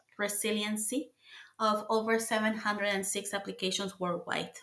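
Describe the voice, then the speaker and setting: A woman with a Mexican accent speaks at a fairly high pitch. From Mexico City. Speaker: engineer. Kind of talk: interview.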